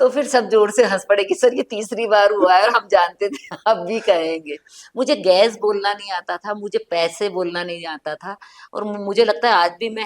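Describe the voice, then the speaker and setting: Recorded dry and close with no echo, this speaker with an Indori accent keeps a moderate pace while the loudness swings widely. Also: woman. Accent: Indori Hindi. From central India, Indore. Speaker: writer. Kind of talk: casual chat.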